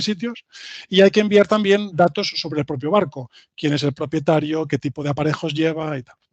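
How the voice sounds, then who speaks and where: In a dry, close recording with no echo, a man speaks fairly quickly at a fairly high pitch with ordinary pitch variation. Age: 40s. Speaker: IT engineer, invited speaker. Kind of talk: lecture. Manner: halting, many fillers and repetitions.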